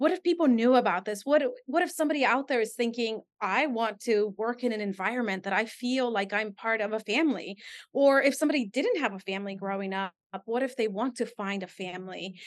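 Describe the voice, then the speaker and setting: A woman with a Spanish accent talks at a very fast pace. The background is quiet. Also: fairly high pitch for a woman, lively intonation. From Guatemala. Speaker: fire department communications specialist. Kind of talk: interview.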